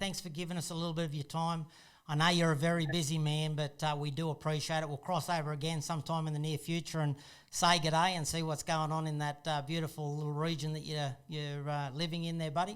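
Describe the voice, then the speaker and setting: Very fast, monotone speech from a man, fairly high-pitched and flat in intonation, in a very clean recording with a silent background. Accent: Australian. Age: 50s. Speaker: property investor and channel host. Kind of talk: casual interview chat.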